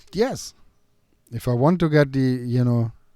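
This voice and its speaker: A man speaks at a moderate pace with a medium pitch and a dark, mellow tone. The recording is very clean, with a silent background. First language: not English. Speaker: dog trainer and podcast host. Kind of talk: casual chat. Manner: halting.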